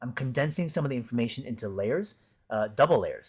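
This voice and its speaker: A man speaks very fast at medium pitch, his voice somewhat breathy, on a very clean recording with a silent background. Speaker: art teacher and streamer. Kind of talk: casual live stream chat. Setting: live stream.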